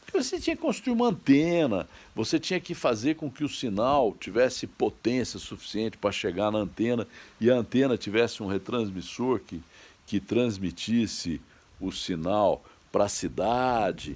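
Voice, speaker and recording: Moderate pace from a man's medium-pitched voice, very clean recording, silent background. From Franca, São Paulo state, Brazil. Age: 60s. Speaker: online commentator. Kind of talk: monologue commentary. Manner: halting.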